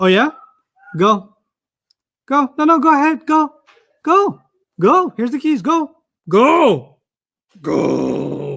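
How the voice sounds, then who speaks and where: Putting on a character voice with an extremely high pitch, a man speaks at a very slow pace, with long, frequent pauses. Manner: sarcastic; falsely agreeable, mocking.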